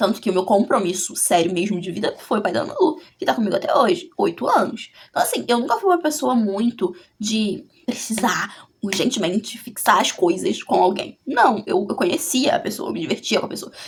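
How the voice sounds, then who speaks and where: A woman's fairly high, somewhat breathy voice, animated and full of very wide pitch swings, at a moderate pace with hardly any pauses. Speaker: vlogger. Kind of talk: casual chat.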